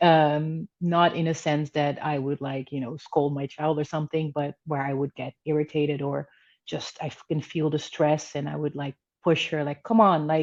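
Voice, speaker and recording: At a moderate pace, a woman speaks in a Dutch accent with a very deep, low pitch and monotone, flat intonation. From Netherlands. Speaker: spiritual coach. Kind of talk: interview. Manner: talkative.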